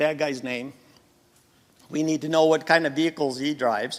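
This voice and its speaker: Speaking with an American accent, a man has a fairly high voice. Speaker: former police officer and safety trainer. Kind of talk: conference talk. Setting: stage with audience. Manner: abrupt, direct.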